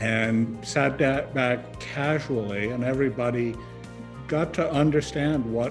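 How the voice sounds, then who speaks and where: With music playing in the background, a man speaks at a fairly slow pace using lively intonation. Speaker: former UN environment official. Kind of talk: interview answer.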